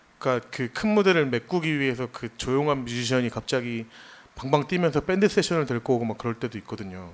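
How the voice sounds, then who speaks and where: Here is a man with an ordinary speaking voice at a medium pitch. He talks at a fairly quick pace with lively intonation. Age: 30s. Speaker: designer and music fan. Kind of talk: casual chat. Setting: live stage with audience.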